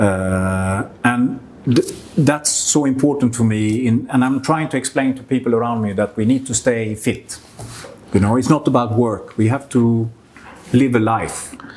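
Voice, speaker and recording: A man speaks fairly slowly at a medium pitch. Noticeable background noise is present. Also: ordinary pitch variation. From Sweden. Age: 60s. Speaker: business owner. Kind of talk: interview.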